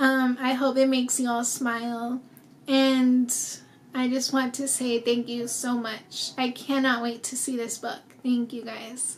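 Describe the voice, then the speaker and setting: A woman's high voice with an American accent, fairly slow and monotone, over light background noise. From US Southwest, small-town New Mexico. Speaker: children's book author. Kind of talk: personal appeal to supporters. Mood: warm, smiling, heartfelt. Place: home room.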